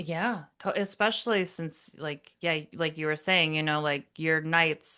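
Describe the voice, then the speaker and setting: This woman has a very deep, low pitch and a bright, sharp tone, talking at a moderate pace with hardly any pauses in an American accent. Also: quiet background. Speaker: podcast host. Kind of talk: podcast interview, host speaking.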